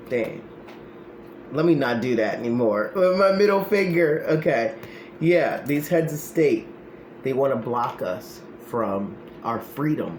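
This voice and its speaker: Pitched fairly high for a man, his voice swings very widely up and down at a fairly slow pace, broken by long, frequent pauses, with noticeable background noise and audible room echo. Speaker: spiritual practitioner and political commentator. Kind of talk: tarot-style card reading monologue. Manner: loud; animated.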